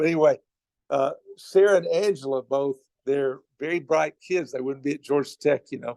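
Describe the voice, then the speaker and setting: With a Southern US accent, a man speaks at a moderate pace and a fairly high pitch. His tone is dark and mellow with fairly even intonation, and the sound is dry and close with no echo. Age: 70s. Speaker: campus minister. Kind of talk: sermon.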